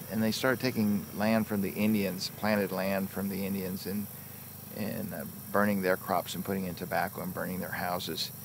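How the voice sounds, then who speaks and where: Fairly low in pitch, a man speaks at a moderate pace, the sound dry with no echo but with noticeable background noise. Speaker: film production designer. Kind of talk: behind-the-scenes interview. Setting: outdoors on film set. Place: waterside.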